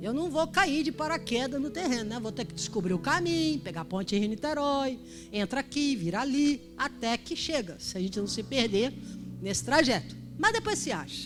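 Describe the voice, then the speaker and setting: With music in the background, a woman talks at a moderate pace in an animated tone. Her pitch is fairly high and swings very widely. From Rio de Janeiro, Brazil. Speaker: pastor. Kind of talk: sermon.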